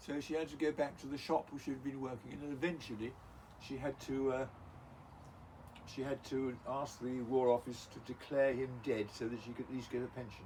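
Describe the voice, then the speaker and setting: A man talks fairly quickly with an English accent. His pitch is medium and his intonation fairly even. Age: 70s. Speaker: grandfather interviewed by grandchild. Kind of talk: casual family interview, storytelling. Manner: halting, many fillers.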